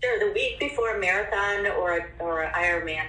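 With an American accent, a woman talks at a moderate pace as audible room echo and noticeable background noise fill the recording. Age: 50s. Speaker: personal trainer. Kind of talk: interview.

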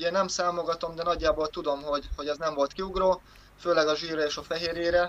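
Speaking at a very fast pace, a man with a high pitch keeps a monotone, flat intonation. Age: 20s. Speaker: powerlifter and personal trainer. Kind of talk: casual interview.

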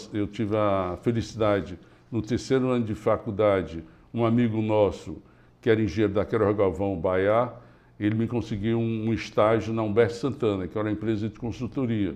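A man with a normal speaking voice talks at a moderate pace, fairly low in pitch and with fairly even intonation. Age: 60s. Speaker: engineering company founder. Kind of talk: interview.

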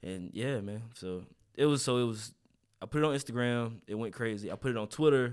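A man with a North Carolina accent, medium pitch, ordinary pitch variation and a fairly quick pace. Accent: Southern US, North Carolina. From eastern North Carolina. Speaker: content creator and hair care business owner. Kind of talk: casual interview.

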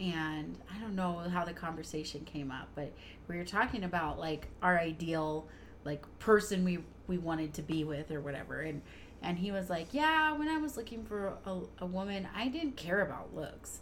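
Amid audible room echo, a woman speaks at a fairly low pitch with ordinary pitch variation. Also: moderate pace. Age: 30s. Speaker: podcast co-host, mom. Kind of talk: casual chat.

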